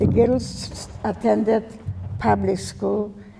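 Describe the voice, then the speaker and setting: A woman's voice is dark and mellow at a medium pitch. Audible echo fills the room. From Poland, Warsaw. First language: Yiddish. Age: 90s. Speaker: Holocaust survivor. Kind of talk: testimony. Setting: stage with audience. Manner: halting.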